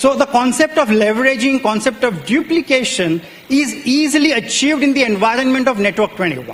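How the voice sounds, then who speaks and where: A man's extremely high-pitched voice with lively intonation at a moderate pace, over noticeable background noise. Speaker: network marketing business leader. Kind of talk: motivational business presentation.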